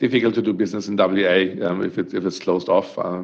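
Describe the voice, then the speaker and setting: A man speaks with a strong German accent. He talks at a fairly quick pace. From Germany. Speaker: startup co-founder. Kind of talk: podcast interview. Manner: hesitant, many fillers and repetitions.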